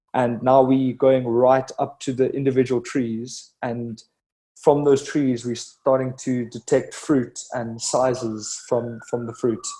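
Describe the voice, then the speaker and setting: A man at medium pitch with a slight South African accent, a dark, mellow tone, monotone, flat intonation and a very slow pace. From South Africa, Cape Town. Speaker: head of software engineering at a drone startup. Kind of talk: interview.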